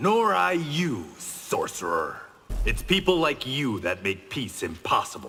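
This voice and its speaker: A man puts on a character voice, pitched fairly high, with very wide swings in pitch. He speaks at a fairly slow pace over music in the background. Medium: video game. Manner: stern, terse.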